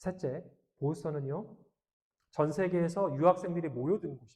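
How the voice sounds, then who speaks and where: A dark, mellow tone at a fairly quick pace with ordinary pitch variation. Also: man, high pitch for a man. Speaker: pastor. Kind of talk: sermon.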